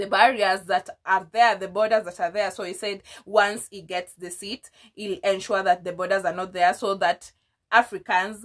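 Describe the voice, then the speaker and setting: A woman at a medium pitch with monotone, flat intonation, in a very clean recording with a silent background. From Kenya. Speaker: YouTuber, political commentator. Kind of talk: casual commentary video. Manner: hesitant, with many fillers and repetitions.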